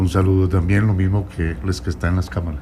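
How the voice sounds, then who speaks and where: Here is a man with a very deep, low voice. He moves at a fairly quick pace. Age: 70s. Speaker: presidential candidate. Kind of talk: radio interview. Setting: radio studio.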